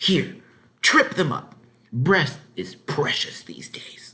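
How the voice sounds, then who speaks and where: Whispering at a very slow pace, a man performs a put-on character voice. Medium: read story. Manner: sharp, brisk.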